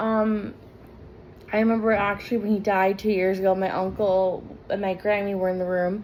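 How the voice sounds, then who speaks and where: A woman speaks at a moderate pace and medium pitch, with monotone, flat intonation and very even loudness. Audible room echo is present. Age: 20s. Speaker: vlogger. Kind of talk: casual vlog talk.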